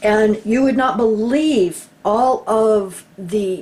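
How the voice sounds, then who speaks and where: There is noticeable background noise behind a woman. Her voice sits fairly high, with ordinary pitch variation. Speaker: YouTube commentator. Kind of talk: screen-share document walkthrough.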